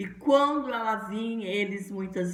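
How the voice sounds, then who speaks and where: A woman with a medium pitch speaks with lively intonation at a fairly slow pace over noticeable background noise. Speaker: pastor. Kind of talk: sermon.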